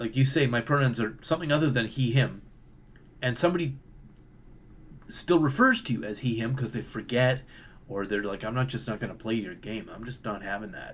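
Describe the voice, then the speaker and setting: Pausing long and often, a man with a Canadian accent speaks at a fairly quick pace and a medium pitch, with ordinary pitch variation. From Canada. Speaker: video commentator. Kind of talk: monologue commentary. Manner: casual, hesitant with fillers.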